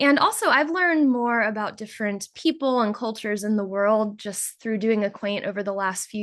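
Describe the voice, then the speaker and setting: A woman's normal speaking voice at medium pitch with an American accent, fairly quick over a quiet background. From United States. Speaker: volunteer coordinator. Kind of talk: presentation.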